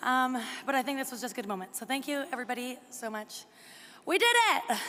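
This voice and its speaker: Against noticeable background noise, a woman projects a raised voice at a high pitch and a fairly quick pace, with ordinary pitch variation. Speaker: graduate speaking at ceremony. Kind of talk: graduation speech. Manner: fast.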